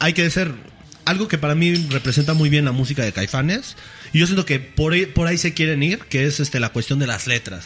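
The speaker, in a Mexican accent, keeps a fairly quick pace, very even loudness and ordinary pitch variation, with noticeable background noise. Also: man, fairly high pitch for a man. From Mexico, Chipilo (Puebla). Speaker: podcast host. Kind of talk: casual chat. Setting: studio.

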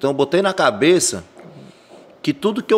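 The speaker is a man with a high-pitched voice. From Brazil, Ceará (Fortaleza / Maracanaú). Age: 30s. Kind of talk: casual chat.

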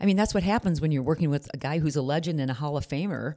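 A woman speaks with a very deep, low voice and a dark, mellow tone. The recording is very clean with a silent background. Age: 60s. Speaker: retired radio broadcaster and career advisor. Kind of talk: casual chat.

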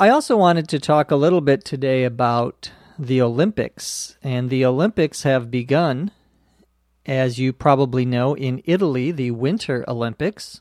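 A man with an American accent and a normal speaking voice talks at a medium pitch with ordinary pitch variation, in a dry, close sound with no echo. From US Midwest, Minnesota. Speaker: English teacher podcast host. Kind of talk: language lesson. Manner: slow, clear.

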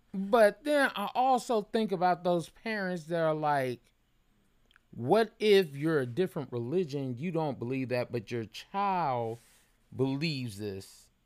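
Loud and fairly slow, a man talks in a fairly high voice with very wide pitch swings. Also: very clean recording, silent background. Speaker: podcast co-host. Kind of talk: casual chat.

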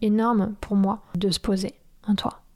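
The voice belongs to a woman. Her pitch sits in the medium range. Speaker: podcaster and personal coach. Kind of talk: personal monologue. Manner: hesitant, many fillers.

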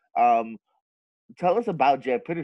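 A man's unremarkable speaking voice at a moderate pace, with ordinary pitch variation. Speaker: podcast host. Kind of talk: casual interview chat.

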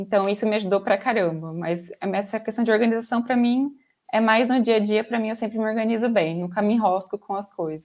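This woman's pitch moves in an ordinary way. Her delivery is very fast. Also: fairly high pitch for a woman. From interior of São Paulo state, Brazil. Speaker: software quality analyst. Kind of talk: casual interview.

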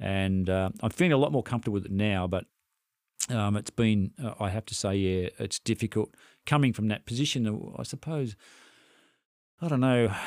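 At a moderate pace, a man with a fairly low pitch and ordinary pitch variation speaks with long, frequent pauses, in a very clean recording with a silent background and a dry, close sound with no echo. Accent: Australian. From Victoria, Australia. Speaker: retired flight paramedic. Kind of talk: interview.

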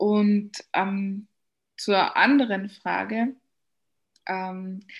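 A woman talks at a medium pitch. The recording is very clean, and the background is silent. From Austria. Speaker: coach. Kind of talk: interview.

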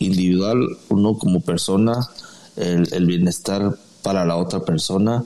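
A man with a fairly low voice speaks at a very slow pace over noticeable background noise. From Mexico, Guadalajara, Jalisco. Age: 40s. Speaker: former footballer. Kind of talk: interview. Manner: halting.

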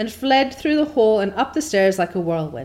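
Lively in intonation, the speaker reads in a natural reading voice.

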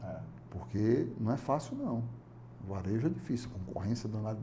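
Here a man talks at a fairly quick pace in a fairly low pitch with a dark, mellow tone. His intonation is fairly even, and there is vocal fry. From Fortaleza, Ceará, Brazil. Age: 50s. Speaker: business owner. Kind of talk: interview. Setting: studio.

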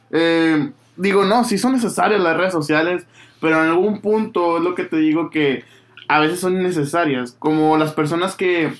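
Using ordinary pitch variation, a man with a high pitch speaks at a moderate pace. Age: 30s. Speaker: podcast host. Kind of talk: casual chat.

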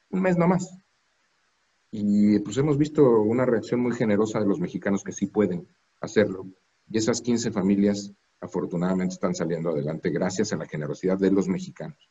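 A man's plain, everyday voice, fairly low in pitch, fairly quick, with lively intonation. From Mexico. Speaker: diplomat. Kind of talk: interview. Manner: formal.

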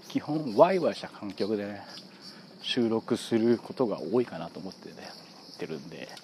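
A man with a medium pitch, very wide pitch swings and big swings in loudness. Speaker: football fan podcaster. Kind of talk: casual solo monologue. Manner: fast.

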